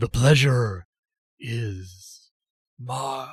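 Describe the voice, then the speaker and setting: The put-on character voice is raspy. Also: man, medium pitch for a man. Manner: polite, gracious.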